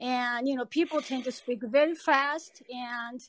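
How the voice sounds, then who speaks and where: A woman speaks in a Japanese accent at a high pitch. Her pitch varies in an ordinary way. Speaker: podcast participant. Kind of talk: podcast discussion.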